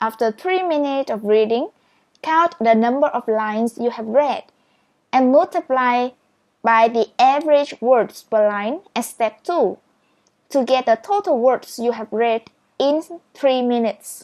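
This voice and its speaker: Speaking with a Vietnamese accent, a woman uses a high pitch and lively intonation at a fairly slow pace, with long, frequent pauses, in a dry, close sound with no echo. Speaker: speed reading teacher. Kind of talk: tutorial.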